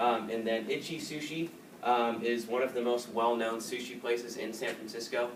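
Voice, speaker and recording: Background noise is noticeable and room echo is audible. A man with an American accent speaks at a medium pitch and a moderate pace, with fairly even intonation. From Southern California, San Diego. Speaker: student. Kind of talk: class presentation. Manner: casual, filler-heavy.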